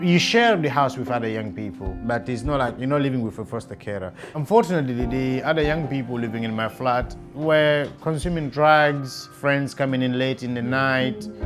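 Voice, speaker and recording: With music playing behind him, a man speaks at a moderate pace and a medium pitch, with ordinary pitch variation and hardly any pauses. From Guinea. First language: not English. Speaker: care leaver. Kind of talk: interview answer.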